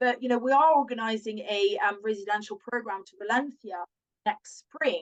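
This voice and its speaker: A woman with a French accent speaks at a fairly high pitch with ordinary pitch variation. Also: moderate pace. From France. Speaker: language school owner. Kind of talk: casual chat.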